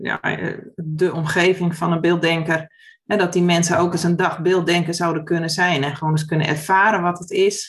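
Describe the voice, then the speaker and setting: A woman with a fairly low pitch speaks at a moderate pace. Her somewhat breathy voice stays monotone, with flat intonation. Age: 40s. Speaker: former primary school teacher, education initiative founder. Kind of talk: casual interview conversation.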